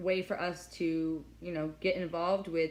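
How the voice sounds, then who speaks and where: A woman's fairly low, monotone voice with flat intonation. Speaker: online shopping show host. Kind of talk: product explainer. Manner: fast; stuttering.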